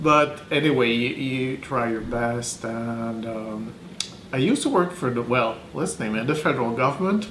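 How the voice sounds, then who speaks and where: A man with a Quebec accent speaks with ordinary pitch variation amid audible room echo and noticeable background noise. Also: medium pitch for a man, moderate pace. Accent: French Canadian accent in English. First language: French. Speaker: translator. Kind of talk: interview. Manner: halting, many fillers.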